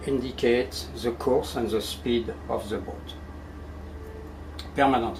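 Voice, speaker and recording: A man speaks with a French accent, with audible room echo and noticeable background noise. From France. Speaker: ship captain. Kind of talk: guided tour explanation. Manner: halting.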